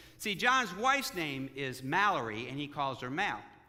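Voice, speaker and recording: A man talks at a fairly slow pace, and audible echo from the room surrounds his voice. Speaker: pastor. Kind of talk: sermon. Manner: halting.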